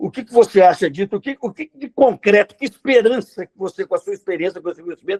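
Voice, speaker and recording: Talking at a very fast pace with hardly any pauses, a man uses a high pitch, lively intonation and big swings in loudness, recorded with a dry, close sound and no echo. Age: 70s. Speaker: audience member. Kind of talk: question from audience.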